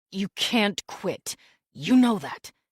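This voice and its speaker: Growling in a put-on character voice at a medium pitch, a woman speaks with a dry, close sound and no echo. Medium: read story. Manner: clipped, controlled.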